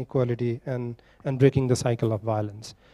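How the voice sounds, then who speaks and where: Over a quiet background, a man talks at a fairly quick pace in a dark, mellow tone. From Nepal. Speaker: panel moderator. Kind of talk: moderating a conference panel. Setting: conference hall with audience. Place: hall. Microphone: handheld.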